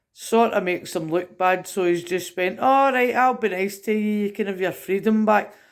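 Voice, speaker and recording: A woman's medium-pitched voice in a Scottish accent, moderate in pace with hardly any pauses and ordinary pitch variation, on a very clean recording with a silent background. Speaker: political commentator vlogger. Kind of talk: rant. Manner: animated.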